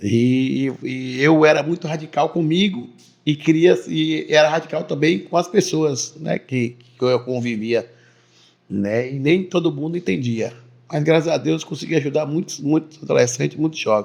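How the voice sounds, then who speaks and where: Here a man speaks with a fairly high voice and ordinary pitch variation. His pace is moderate. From Bahia, Brazil (Teixeira de Freitas). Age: 30s. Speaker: businessman and local politician. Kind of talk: interview testimony. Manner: halting, repeats words.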